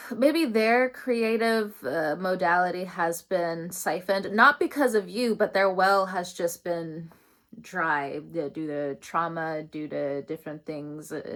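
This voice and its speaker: Lively intonation from a woman with a fairly low pitch, at a fairly slow pace, on a very clean recording with a silent background. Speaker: tarot reader. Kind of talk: tarot reading. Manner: loud, projecting from diaphragm; animated.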